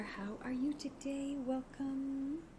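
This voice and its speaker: The voice is soft-spoken, with noticeable background noise behind it. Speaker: witchcraft livestreamer. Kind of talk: casual livestream chat. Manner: halting, many fillers.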